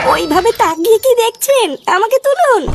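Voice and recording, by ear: A woman performs a cartoonish character voice. Its pitch is extremely high. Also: moderate pace.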